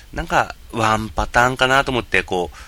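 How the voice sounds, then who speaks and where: A man's bright, sharp tone with vocal fry. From Japan, Yamagata. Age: 30s. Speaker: podcast host and game video streamer. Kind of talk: casual solo podcast monologue. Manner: hesitant, many fillers.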